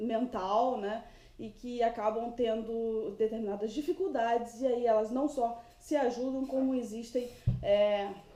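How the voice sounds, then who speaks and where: A woman's fairly high voice with fairly even intonation, at a fairly slow pace over noticeable background noise. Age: 30s. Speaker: vlogger. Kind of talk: casual vlog monologue.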